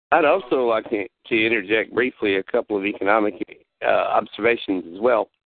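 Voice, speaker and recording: This is a man with a normal speaking voice and an American accent. He talks at a fairly quick pace and medium pitch, with ordinary pitch variation. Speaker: talk show host. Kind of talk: call-in talk show conversation. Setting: phone call.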